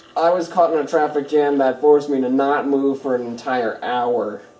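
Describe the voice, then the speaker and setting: Noticeable background noise fills the clip. The man's voice sits at a medium pitch. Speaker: let's play gamer. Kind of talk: casual gameplay commentary. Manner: nonchalant, low energy.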